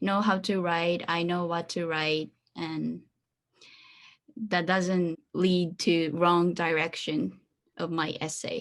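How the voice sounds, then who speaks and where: Speaking very slowly with a Japanese accent, a woman keeps a medium pitch and fairly even intonation. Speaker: former international student. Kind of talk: interview. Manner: halting.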